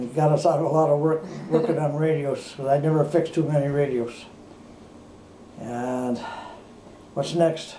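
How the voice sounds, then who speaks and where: A man with an American accent talks at a moderate pace in a fairly high voice, leaving long, frequent pauses. His intonation stays fairly even against noticeable background noise. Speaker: war veteran. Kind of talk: interview answer. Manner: relaxed, conversational.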